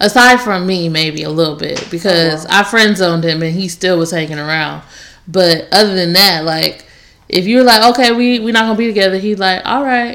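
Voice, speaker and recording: Here a woman uses a normal speaking voice at medium pitch. She talks at a fairly quick pace with ordinary pitch variation. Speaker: podcast host. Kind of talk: casual chat.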